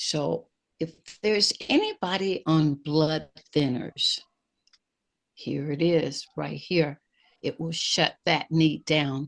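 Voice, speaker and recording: A woman with a very deep, low pitch speaks at a very slow pace, with ordinary pitch variation and long, frequent pauses. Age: 70s. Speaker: health product presenter. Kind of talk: sales pitch. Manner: animated.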